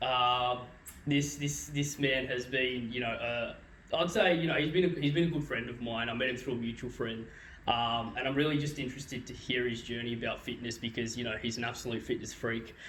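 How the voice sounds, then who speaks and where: Amid noticeable background noise, a man speaks at a medium pitch and a fairly quick pace with fairly even intonation. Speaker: podcast host. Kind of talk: casual podcast conversation.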